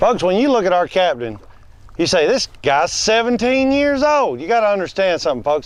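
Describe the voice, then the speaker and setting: With a slight Southern US accent, a man speaks fairly quickly at a high pitch, making very wide pitch swings while his loudness stays very even. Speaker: comedian and fishing show host. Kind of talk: comedy bit and fishing show chat. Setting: outdoors on a boat in salt marshes.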